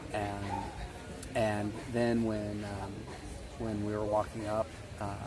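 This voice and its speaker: At a fairly slow pace, a man with a fairly low pitch speaks over noticeable background noise, with audible room echo. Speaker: travel vlogger and volunteer. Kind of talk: casual vlog narration. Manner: many fillers and hesitations.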